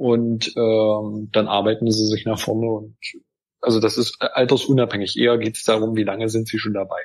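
His voice stays flat and monotone. The man holds a medium pitch at a moderate speed. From Saxony-Anhalt, Germany (Gräfenhainichen). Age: 30s. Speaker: politician. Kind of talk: interview.

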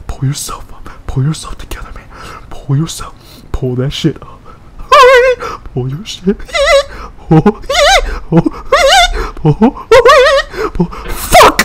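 Noticeable background noise sits under this recording. The man talks very slowly. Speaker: gaming streamer. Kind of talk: casual gameplay commentary. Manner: profane, frustrated, rage-prone. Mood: frustrated, swearing, bursts of rage. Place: home room.

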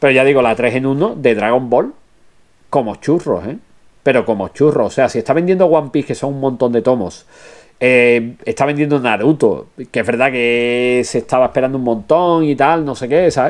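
A man speaks at a moderate pace at a medium pitch. His pitch variation is ordinary. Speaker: anime news streamer. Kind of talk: live stream chat. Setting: live stream. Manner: animated.

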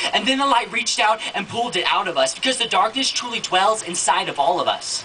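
A man talks at a very fast pace in a high pitch with lively intonation over light background noise. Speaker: spoken word poet. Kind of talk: spoken word poetry performance. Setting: live event. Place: stage. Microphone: handheld.

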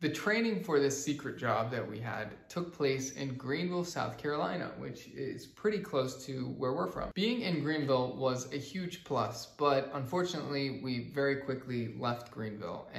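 Room echo is audible as a man talks at a moderate pace. He leaves hardly any pauses. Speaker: travel vlogger. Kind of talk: casual vlog chat. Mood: cheerful, relaxed. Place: home room.

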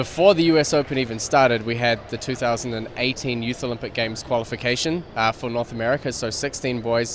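With faint background noise behind him, a man talks at a fairly quick pace in a medium pitch and fairly even intonation.

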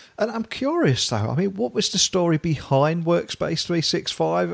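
A man with a British accent speaks at a moderate pace in an enthusiastic tone, the sound dry and close with no echo. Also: very clean recording, silent background. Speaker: tech podcast host. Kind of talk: interview.

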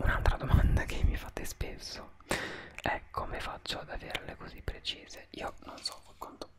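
Whispered speech at a fairly slow pace. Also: man. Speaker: beauty vlogger. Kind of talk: casual vlog chat. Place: home room. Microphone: studio mic.

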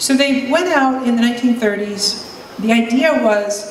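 Fairly high-pitched woman with ordinary pitch variation, audible room echo and light background noise. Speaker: psychiatrist and urban researcher. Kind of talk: panel talk. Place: hall.

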